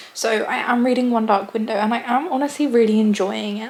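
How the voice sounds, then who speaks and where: Noticeable noise behind the speech, with a fairly even intonation. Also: woman. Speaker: booktuber. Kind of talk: casual vlog talk to camera.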